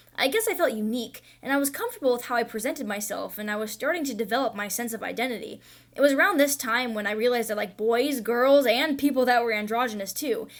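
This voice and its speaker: Very fast and fairly high-pitched, a woman speaks with ordinary pitch variation. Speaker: college student. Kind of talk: personal narration for a student animation. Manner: conversational.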